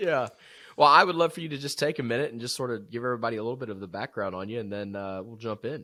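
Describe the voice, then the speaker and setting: Speaking very fast in a South Georgia accent, a man at medium pitch has a bright, sharp tone, lively intonation and big swings in loudness, all in a very clean recording with a silent background. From US South, South Georgia. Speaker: podcast host. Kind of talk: casual interview chat.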